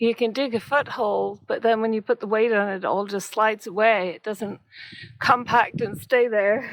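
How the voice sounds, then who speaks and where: Fairly even in intonation, a woman speaks at a moderate pace with a fairly high pitch. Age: 60s. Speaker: travel vlogger. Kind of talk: casual vlog narration while hiking. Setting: outdoors. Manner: halting, many fillers.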